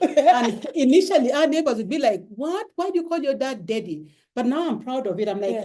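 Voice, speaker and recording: Delivered in a strong Ugandan accent, the speech moves at a fairly quick pace with hardly any pauses. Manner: proud, warm.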